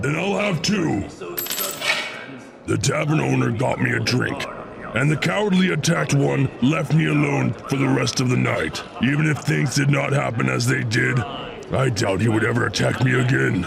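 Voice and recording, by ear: Over loud background noise, a man performs a put-on character voice at a moderate pace.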